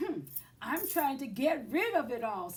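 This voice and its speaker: A female-sounding put-on character voice, squeaky and raised to project, sits at a high pitch with very wide pitch swings. The pace is moderate. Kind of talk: bedtime story. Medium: read story. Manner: fretful, whiny.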